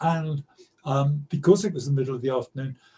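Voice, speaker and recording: A man's dark, mellow tone with a London accent. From London, East End. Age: 70s. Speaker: storyteller. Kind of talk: interview. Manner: halting.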